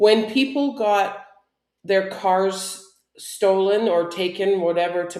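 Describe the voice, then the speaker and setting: The voice has ordinary pitch variation and audible room echo. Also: woman. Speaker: online show co-host. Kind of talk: casual chat.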